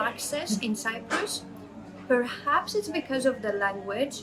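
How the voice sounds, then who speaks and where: With a Latvian accent, a woman speaks at a fairly slow pace with lively intonation amid noticeable background noise. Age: 30s. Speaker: project manager. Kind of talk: interview testimony. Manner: hesitant, many fillers.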